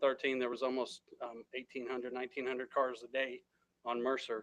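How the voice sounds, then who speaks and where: A quiet man's voice at a fairly high pitch. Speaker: city staff presenter. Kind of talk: presentation at council meeting. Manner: hesitant, many fillers.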